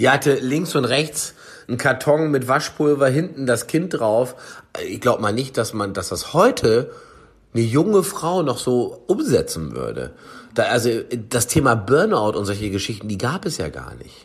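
A man speaks with lively intonation and vocal fry. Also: medium pitch for a man, moderate pace. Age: 40s. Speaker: chef and food product developer. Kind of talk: casual chat.

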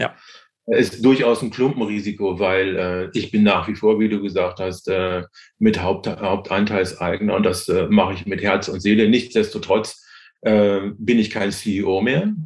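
Against a quiet background, a man talks at a fairly slow pace. His pitch is fairly low and his intonation fairly even. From Hanover, northern Germany. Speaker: pharmacist and company founder. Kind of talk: podcast interview. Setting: remote call across time zones. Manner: hesitant, many fillers.

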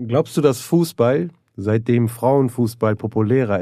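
Speaking at a fairly slow pace, a man with medium pitch and a dark, mellow tone shows ordinary pitch variation. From Neuss, Germany. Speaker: stand-up comedian and actor. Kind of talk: casual banter, comedy podcast.

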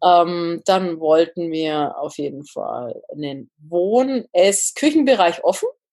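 A woman speaks at a very slow pace with hardly any pauses, her pitch fairly low. Her intonation is lively, and her loudness swings widely. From northern Bavaria. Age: 30s. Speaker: engineer and home builder. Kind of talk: casual interview.

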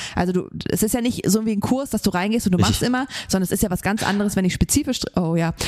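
A woman speaks at a very fast pace with a medium pitch. Her pitch variation is ordinary, and there is noticeable background noise. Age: 30s. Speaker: CrossFit gym owner and coach, podcast co-host. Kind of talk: casual chat.

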